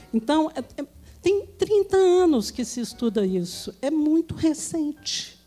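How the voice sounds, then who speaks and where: A woman's dark, mellow tone moves through very wide pitch swings. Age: 60s. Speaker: psychiatrist. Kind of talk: live panel talk. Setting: stage with audience.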